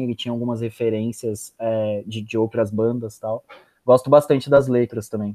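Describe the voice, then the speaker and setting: This is a man speaking. He keeps a moderate pace. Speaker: podcast host. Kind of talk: casual interview.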